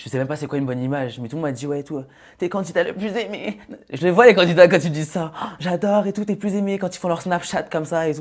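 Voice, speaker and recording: Against a quiet background, a man with a high pitch speaks at a very fast pace, with ordinary pitch variation and big swings in loudness. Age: 20s. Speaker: reality TV contestant; TV guest. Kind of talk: casual chat. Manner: halting. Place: studio. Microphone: lapel.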